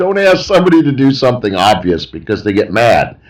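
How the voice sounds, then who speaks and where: A man speaks with an American accent. His voice has vocal fry and very wide pitch swings. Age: 60s. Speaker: retired art teacher, vlogger. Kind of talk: casual monologue. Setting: outdoors on porch.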